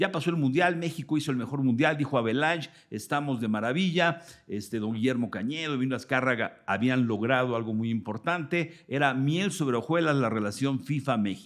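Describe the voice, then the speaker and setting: A man with a Mexican accent, medium in pitch with ordinary pitch variation, at a fairly quick pace. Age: 60s. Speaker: sports journalist. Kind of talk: interview. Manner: animated.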